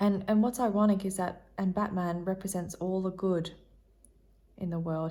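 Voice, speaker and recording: Somewhat breathy and fairly low, a woman's dark, mellow voice holds monotone, flat intonation. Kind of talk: tarot reading, casual talk to camera. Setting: ASMR-style recording. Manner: soft-spoken, rambling, friendly.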